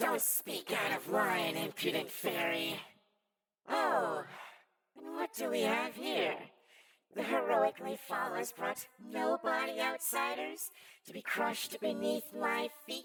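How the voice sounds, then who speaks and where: This is a put-on character voice with a raspy edge. It moves at a fairly slow pace. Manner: sinister, haughty.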